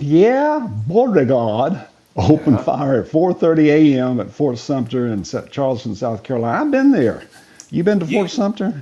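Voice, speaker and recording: Very wide pitch swings run through a dark, mellow tone delivered at a moderate pace. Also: man, fairly high pitch for a man. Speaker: podcast co-host. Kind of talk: casual chat. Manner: energetic.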